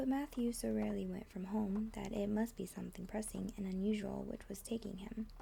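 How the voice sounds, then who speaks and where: A woman talks in a soft-spoken way. Noticeable background noise can be heard. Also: fairly quick pace. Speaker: ASMR content creator. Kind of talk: soft-spoken ASMR audiobook reading. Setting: rain sounds on window in the background. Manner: soft-spoken, quiet.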